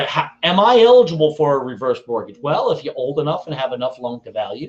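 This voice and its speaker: A man with an American accent and a fairly high pitch talks fairly quickly with hardly any pauses, very wide pitch swings and big swings in loudness. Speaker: reverse mortgage wholesale specialist. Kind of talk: educational webinar presentation. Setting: video call from home kitchen.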